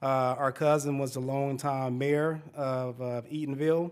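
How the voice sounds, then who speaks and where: A man with a Southern US accent and a fairly high pitch at a fairly slow pace, on a very clean recording with a silent background. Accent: Southern twang. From Central Florida, Polk County. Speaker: urban planning consultant. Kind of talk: panel presentation.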